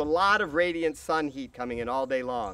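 A man's bright, sharp tone with lively intonation, in a dry sound with no echo. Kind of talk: casual explanatory tour. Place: farm machine.

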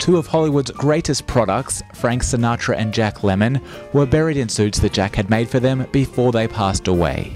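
A man speaks at a medium pitch with lively intonation. Music plays in the background. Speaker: news reporter. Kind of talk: news report narration.

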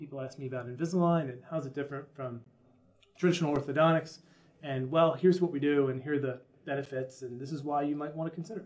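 A man with an American accent talks at a very fast pace. His pitch is fairly high and his intonation fairly even. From United States. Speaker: dental marketing company founder. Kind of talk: interview. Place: office.

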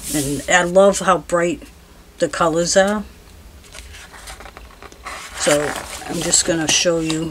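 A woman's fairly low-pitched voice with ordinary pitch variation and noticeable background noise. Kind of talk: casual haul vlog chat. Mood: relaxed, cheerful. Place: home room. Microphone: camera far.

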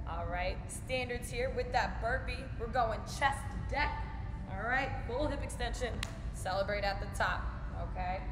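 A woman talks at a fairly slow pace. Noticeable background noise can be heard. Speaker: fitness coach. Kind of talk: workout tutorial. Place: gym. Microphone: camera far.

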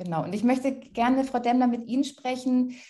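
The background is quiet. A woman speaks with a fairly high pitch and a dark, mellow tone. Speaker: moderator. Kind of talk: moderated talk. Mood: friendly, calm, professional.

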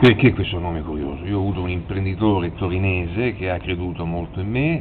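Noticeable background noise sits behind a man whose voice is very deep and low. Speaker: TV prankster. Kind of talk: casual talk to camera.

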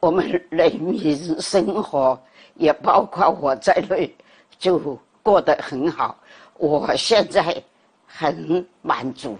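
A woman's fairly low voice with ordinary pitch variation at a very slow pace, over a quiet background. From Guangzhou, China. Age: 80s+. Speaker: elderly video creator. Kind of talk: interview answer. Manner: slow, clear. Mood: calm, content, reflective. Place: home room. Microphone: lapel.

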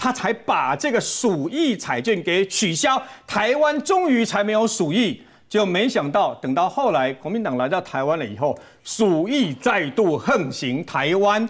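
A man's high-pitched voice with a Taiwanese accent, fairly slow in pace, with very wide pitch swings over a quiet background. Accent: Taiwanese Mandarin. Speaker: veteran journalist. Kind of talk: TV political talk show, storytelling; political talk show commentary. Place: studio. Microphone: lapel.

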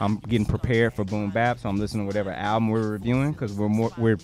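Faint music plays in the background as a man speaks. The sound is dry, with no echo. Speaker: podcast co-host. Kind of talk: casual podcast discussion. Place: studio. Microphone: studio mic.

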